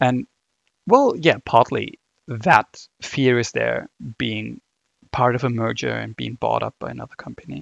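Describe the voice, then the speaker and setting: Speech with a German accent moves at a fairly slow pace with long, frequent pauses and big swings in loudness, the sound dry and close with no echo. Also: man. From Germany. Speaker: podcaster. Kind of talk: solo casual monologue, rambling.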